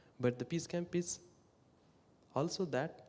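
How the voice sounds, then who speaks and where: A man with an Indian accent speaks in a dark, mellow tone. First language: not English (English is fourth language). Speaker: peace camp worker. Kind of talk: talk at worship service.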